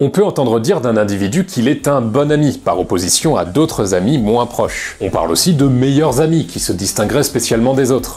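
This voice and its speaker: Fairly quick, lively speech from a man, with music in the background. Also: medium pitch for a man, hardly any pauses. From France. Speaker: YouTube personal development essayist. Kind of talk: scripted video essay narration. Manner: casual, conversational.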